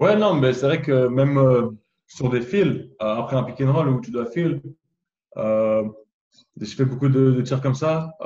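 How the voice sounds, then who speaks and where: The voice is dark, mellow and somewhat breathy, with very even loudness and ordinary pitch variation. It moves at a very slow pace with long, frequent pauses. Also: man, medium pitch for a man. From France. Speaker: basketball draft prospect. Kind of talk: video interview.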